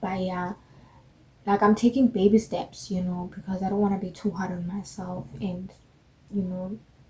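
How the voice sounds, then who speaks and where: A woman's somewhat breathy, dark, mellow voice at medium pitch, monotone and flat in intonation, with long, frequent pauses. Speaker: beginner fashion vlogger. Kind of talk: casual vlog monologue. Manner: slow.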